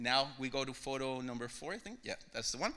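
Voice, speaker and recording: Speaking with a Mexican accent, a man has medium pitch and a bright, sharp tone. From Mexico. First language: Spanish. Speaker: visiting pastor. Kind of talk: sermon-style testimony. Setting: church.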